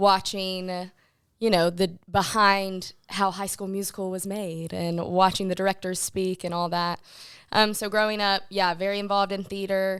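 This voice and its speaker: In a Southern US accent, the speaker talks in a monotone with flat intonation, on a very clean recording with a silent background. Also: woman, medium pitch for a woman, moderate pace. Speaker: film producer. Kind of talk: podcast interview.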